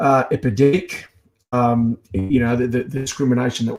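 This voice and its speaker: At a moderate pace and medium pitch, a man speaks in an Australian accent. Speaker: activist. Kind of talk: speech-like commentary.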